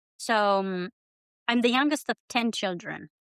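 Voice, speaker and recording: A woman with a Romanian accent, recorded dry and close with no echo. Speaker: immigrant writer, guest. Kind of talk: casual interview.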